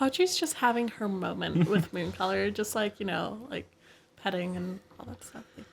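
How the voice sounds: Pitch variation here is ordinary. The reading voice sounds natural.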